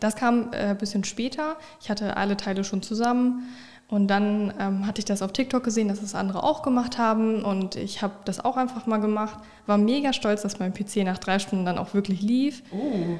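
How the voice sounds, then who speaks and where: Noticeable background noise accompanies this recording. A woman with a fairly high pitch speaks at a moderate pace. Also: fairly even intonation. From northern Germany, Oldenburg. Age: 20s. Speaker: streamer and content creator. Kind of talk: casual interview.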